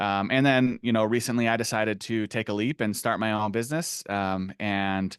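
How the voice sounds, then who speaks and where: With hardly any pauses, a man speaks at a fairly low pitch and fairly even intonation, the sound dry and close with no echo over a quiet background. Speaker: SEO consultant. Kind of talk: webinar presentation. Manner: fast.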